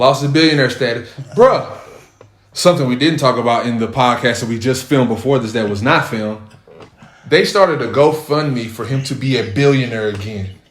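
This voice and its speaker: At a fairly quick pace, a man speaks at a medium pitch with ordinary pitch variation, and audible room echo is present. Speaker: podcast host. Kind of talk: casual chat.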